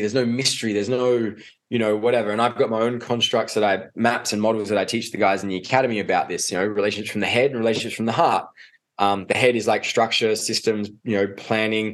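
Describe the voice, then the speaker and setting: A man with an Australian accent talks at a very fast pace. His pitch is fairly low and his intonation fairly even. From Australia, Adelaide. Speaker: men's coach. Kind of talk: casual chat.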